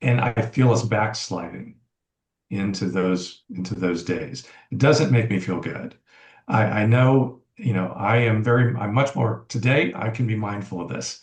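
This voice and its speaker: A man with an American accent speaks at a fairly slow pace. His voice is somewhat breathy. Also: medium pitch for a man, ordinary pitch variation. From US South. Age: 60s. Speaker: podcast guest. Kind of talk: casual chat.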